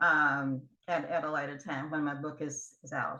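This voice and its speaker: With an American accent, a woman speaks at a very deep, low pitch in a bright, sharp tone and at a fairly slow pace. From US South. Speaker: guest. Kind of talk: interview. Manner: halting.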